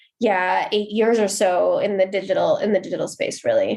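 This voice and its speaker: At a moderate pace, a woman with an American accent and a fairly high pitch talks in a normal speaking voice. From US, Seattle. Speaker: marketing executive. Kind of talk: podcast interview.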